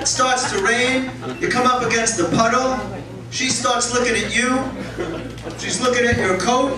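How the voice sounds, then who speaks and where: Moderate pace broken by long, frequent pauses, amid noticeable background noise and audible room echo. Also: man. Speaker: stand-up comedian. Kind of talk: stand-up comedy set with profanity and crowd work. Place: stage.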